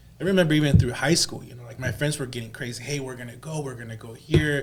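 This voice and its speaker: A man speaks in a Spanish accent. His intonation is fairly even. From El Salvador, then San Francisco Bay Area from age eleven. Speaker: loan officer. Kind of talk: podcast interview. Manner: casual, hesitant with many fillers.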